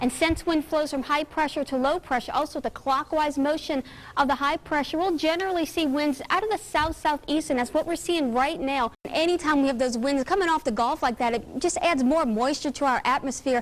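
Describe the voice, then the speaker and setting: Speaking at a fairly quick pace, a woman with a high pitch keeps very even loudness and ordinary pitch variation. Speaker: TV meteorologist. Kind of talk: TV weather forecast broadcast. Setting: TV studio / newsroom.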